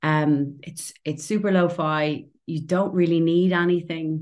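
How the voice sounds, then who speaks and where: A woman speaks in a Dublin accent at a fairly low pitch, with fairly even intonation. The background is quiet. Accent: Dublin Irish. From Ireland, Dublin. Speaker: playwright and actor. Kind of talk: casual interview chat.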